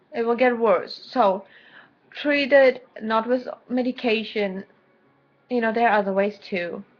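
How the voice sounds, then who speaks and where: A woman with a German accent at a moderate pace, with ordinary pitch variation. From Germany. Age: 20s. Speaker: vlogger. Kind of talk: personal video diary. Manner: halting.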